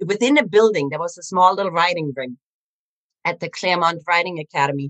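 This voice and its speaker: This woman, with a German accent, talks at a very fast pace in a fairly low pitch and ordinary pitch variation. The sound is dry and close, with no echo. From Germany. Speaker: animal communicator. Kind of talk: interview storytelling.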